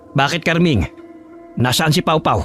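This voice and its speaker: A man speaks in a put-on character voice, fairly high in pitch, at a fairly slow pace. Clear music plays in the background. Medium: read story. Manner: gentle, concerned.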